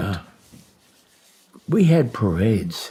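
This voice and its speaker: Speaking at a fairly slow pace, a man in a Midwestern American accent moves through very wide pitch swings. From Detroit, Michigan. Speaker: war veteran. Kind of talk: interview answer.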